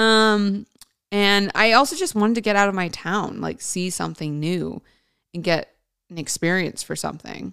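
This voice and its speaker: Speaking with an American accent, a woman uses an animated tone, ordinary pitch variation and a moderate pace. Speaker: podcast host and actress. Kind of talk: casual solo monologue, storytelling. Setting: podcast recording. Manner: chatty, animated, conversational.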